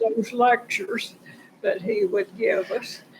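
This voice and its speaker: Her voice is high-pitched, and she speaks at a fairly slow pace. Noticeable background noise accompanies the woman. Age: 90s. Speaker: painter. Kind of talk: interview. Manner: halting.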